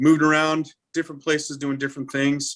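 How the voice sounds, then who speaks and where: The voice has a bright, sharp tone and an American accent, moving at a fairly quick pace. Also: man, dry, close sound with no echo. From Montana. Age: 40s. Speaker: fire chief. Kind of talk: interview on a webcast. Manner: hesitant, many uh fillers.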